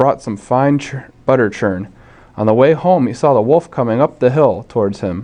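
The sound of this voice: Lively intonation in an unforced reading voice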